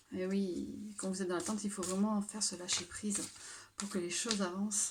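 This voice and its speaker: A soft-spoken woman in a monotone, flat intonation at a moderate pace, with audible room echo. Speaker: tarot card reader. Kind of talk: tarot reading. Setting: at home late at night. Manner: hesitant.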